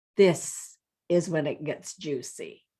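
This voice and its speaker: The woman's tone comes across as animated. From French Canada. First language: French. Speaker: life coach. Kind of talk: vlog monologue.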